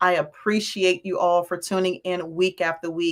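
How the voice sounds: A raspy woman speaks at a moderate pace. Her pitch is fairly low, with little pitch movement.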